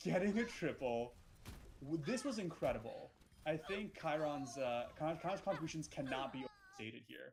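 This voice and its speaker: A man speaks in an ordinary speaking voice. His pitch is fairly high and his intonation lively. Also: moderate pace. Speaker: esports caster. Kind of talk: live commentary. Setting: live stream.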